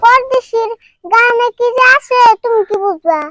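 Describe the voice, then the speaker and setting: Using a squeaky put-on character voice, a woman talks at an extremely high pitch. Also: moderate pace. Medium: comedy sketch. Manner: playful, teasing.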